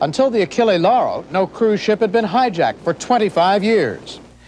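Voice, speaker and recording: The pitch swings very widely at a fairly quick pace, with noticeable background noise. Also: man. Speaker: TV news reporter. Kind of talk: TV news report narration.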